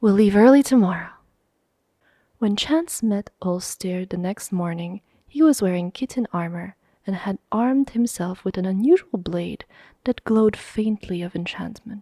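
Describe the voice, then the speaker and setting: Soft-spoken whispering comes through dry and close, with no echo. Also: woman, moderate pace, very clean recording, silent background. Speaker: ASMR reader. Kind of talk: audiobook reading of a fantasy story, close-mic ASMR. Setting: close microphone. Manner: soft-spoken, ASMR whisper-like.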